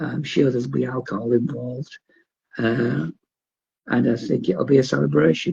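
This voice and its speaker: This man speaks in a Geordie accent at a medium pitch, with vocal fry. His pace is fairly slow and his pitch swings very widely. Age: 50s. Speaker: wrestling promoter. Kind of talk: casual chat.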